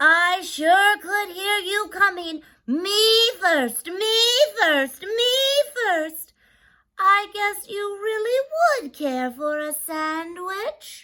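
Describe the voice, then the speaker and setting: Cackling and squeaky, a woman uses a put-on character voice at an extremely high pitch and a very slow pace. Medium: read story. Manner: bossy, gloating.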